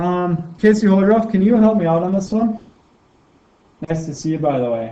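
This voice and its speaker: A man speaks with high pitch and a dark, mellow tone. His pace is moderate. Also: lively intonation. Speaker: high school math teacher. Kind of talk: video lesson. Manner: casual, encouraging.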